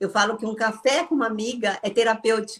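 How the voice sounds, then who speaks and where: At a moderate pace, this is an ordinary speaking voice. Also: woman. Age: 60s. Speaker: former Jehovah's Witness, ex-salon owner. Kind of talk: interview.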